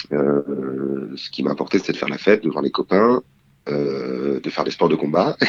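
A man talks at a moderate pace while noticeable background noise sounds behind him. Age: 20s. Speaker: drama student. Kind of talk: interview.

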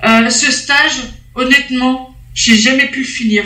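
There is audible room echo around a woman's raised, projected voice. She speaks high-pitched at a very slow pace, with fairly even intonation. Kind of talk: casual chat.

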